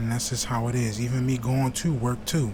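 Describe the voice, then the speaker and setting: Over noticeable background noise, a man with an American accent talks at a fairly quick pace and medium pitch. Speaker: YouTube reaction creator. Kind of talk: casual vlog talk to viewers. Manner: fast.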